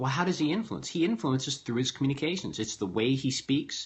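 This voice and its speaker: Animated and somewhat breathy, a man speaks at a fairly quick pace and a medium pitch with lively intonation. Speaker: business coach and speaker. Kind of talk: vlog talk to camera. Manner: fast.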